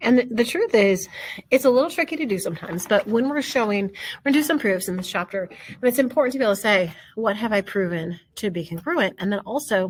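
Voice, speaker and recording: A woman speaks at medium pitch with very wide pitch swings. Her voice is somewhat breathy. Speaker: math teacher. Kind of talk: lecture. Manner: hesitant, with fillers.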